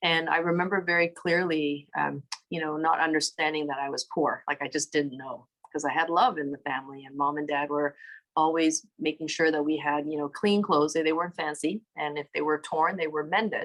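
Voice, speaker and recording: Fairly quick and fairly even in intonation, a woman with a Canadian accent speaks in a very deep, low pitch. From Toronto, Canada. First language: Cantonese. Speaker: city councillor. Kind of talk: interview.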